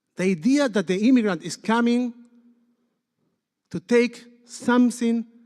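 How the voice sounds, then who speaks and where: A man with a non-native accent speaks at a fairly slow pace in a dry, close sound with no echo. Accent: noticeable foreign. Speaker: rabbi. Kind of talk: sermon.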